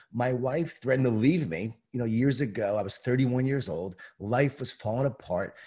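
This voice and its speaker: A man with an American accent speaks at a medium pitch with ordinary pitch variation. His voice is somewhat breathy, with a dark, mellow tone. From Long Island, New York. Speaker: leadership author and keynote speaker. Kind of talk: casual interview.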